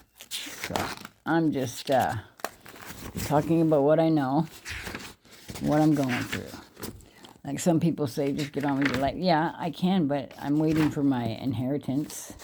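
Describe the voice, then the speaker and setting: A woman's very deep, low voice at a fairly slow pace, fairly even in intonation, broken by long, frequent pauses, with noticeable background noise. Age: 60s. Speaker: vlogger. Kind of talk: casual monologue. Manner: halting.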